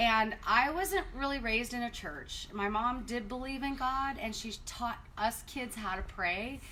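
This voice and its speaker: Speaking fairly slowly yet with hardly any pauses, a woman with a Southwestern US accent uses a high pitch and lively intonation, heard through audible room echo and noticeable background noise. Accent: US Southwest American. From Arizona, North Phoenix. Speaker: marriage ministry co-host. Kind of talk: personal testimony. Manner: casual, conversational.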